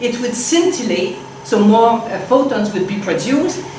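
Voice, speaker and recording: A woman with a Quebec accent speaks at a fairly slow pace, her fairly high voice carrying lively intonation, amid noticeable background noise and audible room echo. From Quebec, Canada. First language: French. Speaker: physicist. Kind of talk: lecture. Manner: halting, with many fillers.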